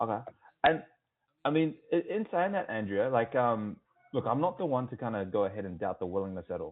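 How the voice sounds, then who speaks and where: Speaking at a medium pitch with an Australian accent, a man makes very wide pitch swings and takes long, frequent pauses. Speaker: sales rep. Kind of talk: sales call. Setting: phone call. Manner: casual, filler-heavy.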